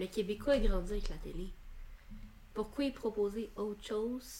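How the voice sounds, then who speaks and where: A woman's fairly high voice, fairly even in intonation and fairly slow, over noticeable background noise. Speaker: film podcast co-host and student. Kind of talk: casual chat.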